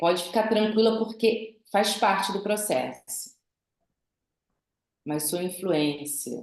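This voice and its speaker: Pausing long and often, a woman with a medium pitch speaks at a very slow pace with lively intonation. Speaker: behavioral profile specialist, instructor. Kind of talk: online class, interactive lecture.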